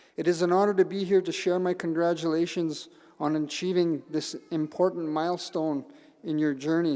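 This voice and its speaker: Speaking with a Canadian accent, a man uses a high pitch, a dark, mellow tone and a monotone, flat intonation. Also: moderate pace. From northern Manitoba, Canada. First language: Cree. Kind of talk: ceremonial speech. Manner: halting.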